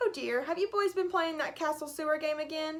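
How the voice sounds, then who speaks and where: A woman puts on a squeaky character voice pitched extremely high. She sounds cheerful and talks at a fairly quick pace. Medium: read story. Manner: cheerful, unflappable.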